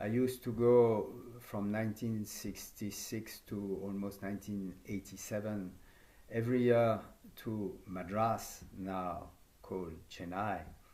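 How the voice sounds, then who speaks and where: Dark, mellow tone at a fairly slow pace, fairly even intonation, with audible room echo. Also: man, fairly low pitch for a man. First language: French. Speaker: yoga teacher trainer. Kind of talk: conference talk. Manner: halting.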